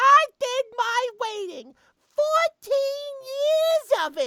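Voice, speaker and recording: In a put-on character voice, a female-sounding speaker talks very slowly at an extremely high pitch. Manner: put-on mom voice.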